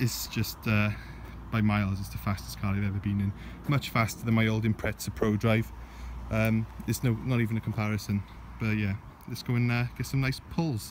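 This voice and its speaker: A man's somewhat breathy, fairly low voice at a fairly quick pace, with ordinary pitch variation, a dry echo-free sound and noticeable background noise. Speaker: car owner vlogger. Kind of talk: casual vlog chat. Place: open country. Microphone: phone near.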